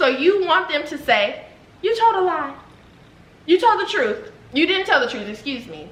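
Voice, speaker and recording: A woman talks in an animated tone at an extremely high pitch with very wide pitch swings and big swings in loudness, at a moderate pace broken by long, frequent pauses. Audible room echo and noticeable background noise sit around her voice. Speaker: YouTuber, mother. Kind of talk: heated debate.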